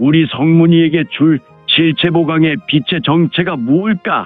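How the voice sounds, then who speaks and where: Over faint music in the background, a man puts on a character voice at a fairly high pitch and a moderate pace. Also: ordinary pitch variation. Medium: audio drama. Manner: chuckling, musing to himself.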